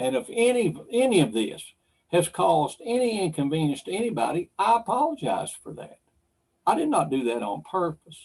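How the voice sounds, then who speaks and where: At a moderate pace, a man with an American accent speaks high for a man, his pitch swinging very widely. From Kentucky. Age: 60s. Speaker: wildlife commissioner. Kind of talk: public meeting statement. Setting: virtual livestream meeting.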